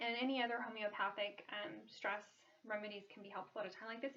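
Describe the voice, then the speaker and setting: Her pitch sits fairly high for a woman. She talks at a very fast pace. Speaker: wellness vlogger. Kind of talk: casual talk to camera. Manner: hesitant, many ums.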